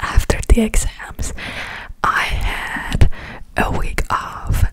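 Whispering is what this woman does as she talks. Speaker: ASMR creator. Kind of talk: ASMR whisper ramble. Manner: whispered. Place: home room. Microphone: studio mic.

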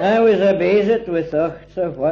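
A man speaks with a Scottish accent. His pace is very slow. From Scotland. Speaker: poet. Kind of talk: poetry reading. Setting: home recording at a private party. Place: home room.

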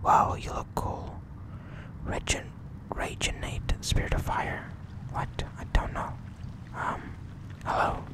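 A man whispers at a very slow pace. There is noticeable background noise. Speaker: ASMR gaming channel host. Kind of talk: casual gameplay commentary. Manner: whispered.

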